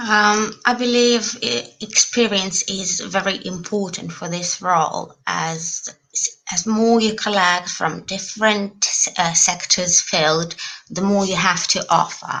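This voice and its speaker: Over noticeable background noise, a woman talks very slowly at a medium pitch. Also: ordinary pitch variation. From Lithuania. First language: Russian. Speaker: student election candidate. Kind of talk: candidate Q&A answer. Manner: halting, many hesitations.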